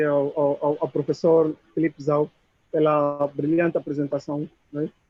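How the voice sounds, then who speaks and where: A man speaks in an Angolan accent at a moderate pace. His pitch is fairly high. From Moxico, Angola. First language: Chokwe (speaking Portuguese). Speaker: audience member. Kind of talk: audience question at video conference.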